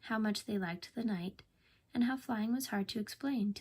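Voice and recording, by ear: A passage is read aloud in a natural voice. The pitch moves in a normal way.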